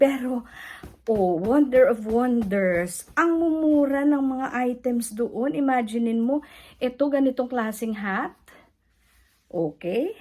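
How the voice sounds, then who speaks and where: Pitched fairly high, a woman speaks with a dark, mellow tone. Her intonation is lively, and her pace is very slow. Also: very clean recording, silent background. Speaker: vlogger. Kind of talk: casual vlog haul.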